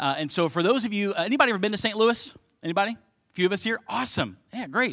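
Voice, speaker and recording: A man with a Midwestern American accent talks at a very fast clip in a high voice with a bright, sharp tone. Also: lively intonation. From Ohio, Cincinnati. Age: 30s. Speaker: pastor. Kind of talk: sermon.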